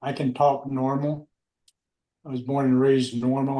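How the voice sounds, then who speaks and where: A fairly slow, monotone man with an American accent, medium in pitch, dark and mellow in tone. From Texas. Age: 70s. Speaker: war veteran. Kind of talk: oral history interview.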